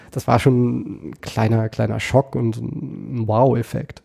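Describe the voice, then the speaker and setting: Fairly slow and fairly even in intonation, a man speaks with a dark, mellow tone. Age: 30s. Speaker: kendo trainer. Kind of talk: casual interview. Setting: office.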